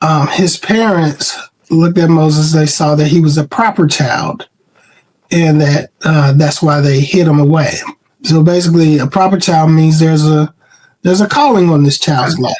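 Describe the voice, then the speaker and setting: A man with a fairly high voice speaks at a moderate pace, his intonation fairly even and his loudness very even. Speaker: publishing company CEO. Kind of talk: interview. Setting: podcast. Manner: halting.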